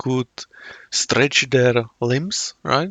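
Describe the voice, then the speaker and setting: A man speaks in a Czech accent at a very slow pace. His pitch varies in an ordinary way. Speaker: YouTube reactor. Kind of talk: casual commentary. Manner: halting.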